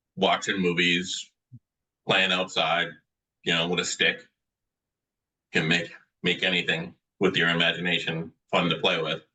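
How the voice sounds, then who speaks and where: This man speaks at a fairly slow pace with a very deep, low pitch, a bright, sharp tone, very even loudness, monotone, flat intonation, long, frequent pauses and a Boston accent. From Medford, Massachusetts (Boston area). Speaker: author. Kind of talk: interview.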